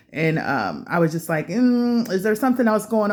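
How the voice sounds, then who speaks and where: Woman at a moderate pace on a very clean recording with a silent background. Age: 40s. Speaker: vlogger. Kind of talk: casual monologue vlog. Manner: hesitant, many fillers.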